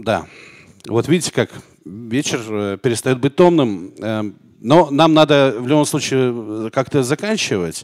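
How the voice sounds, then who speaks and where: A man's very slow speech with lively intonation and long, frequent pauses over a quiet background. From Arkhangelsk region, northern Russia. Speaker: talk show host. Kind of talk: live talk show. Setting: studio with live audience. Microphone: handheld.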